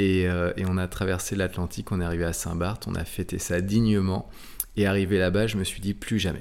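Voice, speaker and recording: This man's voice sits at a very deep, low pitch, delivered in a flat monotone. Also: fairly quick pace. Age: 40s. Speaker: offshore sailor. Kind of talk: interview.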